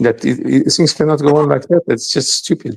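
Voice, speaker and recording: A man is speaking. He has a Portuguese accent. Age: 60s. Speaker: podcast guest commentator. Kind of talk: podcast discussion. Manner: halting, with frequent repetitions.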